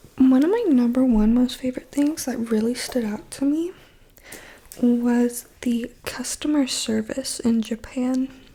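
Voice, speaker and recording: A woman whispers. She speaks at a fairly slow pace. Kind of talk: ASMR casual talk to camera. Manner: whispered.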